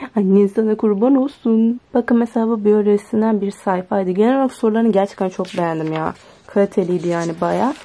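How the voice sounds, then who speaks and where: The speaker barely pauses. The pace is fairly quick. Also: woman, ordinary pitch variation. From Turkey. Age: young. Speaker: student vlogger. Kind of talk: casual vlog. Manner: animated.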